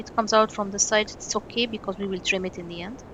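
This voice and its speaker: A woman with a non-native accent talks at a fairly quick pace with a medium pitch. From Egypt. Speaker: miniature craft artist. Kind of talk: tutorial. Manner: halting.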